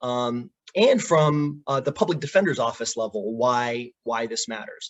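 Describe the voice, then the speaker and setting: Lively intonation marks a man's moderate-tempo speech in an unremarkable speaking voice. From immigrant to the US. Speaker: public defender attorney. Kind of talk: panel presentation. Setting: video call.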